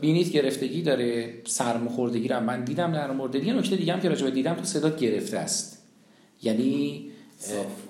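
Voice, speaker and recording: There is noticeable background noise behind this man's voice. He speaks very fast at a medium pitch. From Iran, raised in several cities. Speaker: public speaking teacher. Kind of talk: lecture. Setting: classroom with students. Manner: animated.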